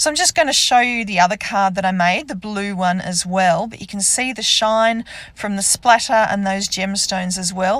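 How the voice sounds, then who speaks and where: A woman with an Australian accent speaks at a moderate pace and medium pitch. Her pitch varies in an ordinary way over noticeable background noise. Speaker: card-making crafter. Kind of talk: crafting tutorial. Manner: casual, hesitant with ums.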